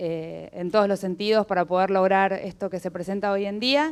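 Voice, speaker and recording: A woman's plain, everyday voice, medium-pitched, with fairly even intonation at a fairly quick pace. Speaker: human rights activist. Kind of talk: welcome speech. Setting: event venue with audience.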